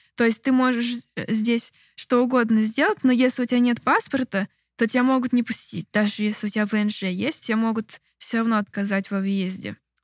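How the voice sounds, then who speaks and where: Recorded very cleanly against a silent background, the voice moves at a moderate pace with fairly even intonation and a dry, close sound free of echo. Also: woman. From Moscow, Russia. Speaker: political activist. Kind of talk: interview. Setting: rented apartment, non-studio.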